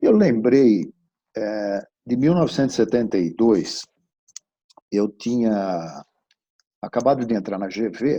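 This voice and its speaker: A dark, mellow male voice at medium pitch, very slow, with long, frequent pauses and ordinary pitch variation. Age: 60s. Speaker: business executive. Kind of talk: webinar talk. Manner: casual, conversational.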